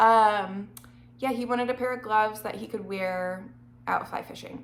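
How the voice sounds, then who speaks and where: Audible room echo surrounds this voice. A woman talks with ordinary pitch variation. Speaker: knitting vlogger. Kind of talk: casual chat.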